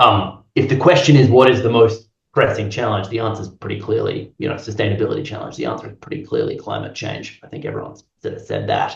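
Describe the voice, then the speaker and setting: Speech with an Australian accent races along at a very fast pace, with hardly any pauses and big swings in loudness. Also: man. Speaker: health and climate professor. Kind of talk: panel discussion. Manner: halting.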